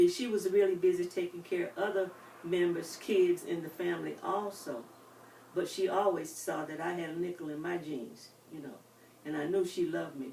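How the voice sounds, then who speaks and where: With an American accent, a woman talks at a moderate pace in a fairly low voice, her pitch varying normally and her loudness swinging widely over noticeable background noise. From US South, North Carolina (Winston-Salem). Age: 80s+. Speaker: retirement home resident, life story interviewee. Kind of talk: oral history interview. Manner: halting.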